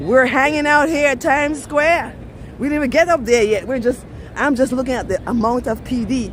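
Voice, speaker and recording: Crowd noise fills the background as a woman with an American accent talks in an animated tone. Her pitch is high and her pace moderate. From Belize. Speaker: travel vlogger. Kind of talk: live-stream walking tour. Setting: outdoors, city streets.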